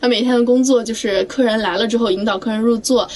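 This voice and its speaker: Noticeable background noise under a fairly high-pitched woman talking fairly quickly. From Anhui, China. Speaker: job-seeking graduate. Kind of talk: casual chat.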